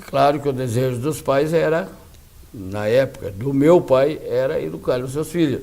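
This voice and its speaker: A man with a fairly high pitch and ordinary pitch variation, at a moderate pace, amid audible room echo. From southern Brazil, Rio Grande do Sul (Lagoa Vermelha region). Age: 70s. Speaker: lawyer. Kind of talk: interview. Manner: halting.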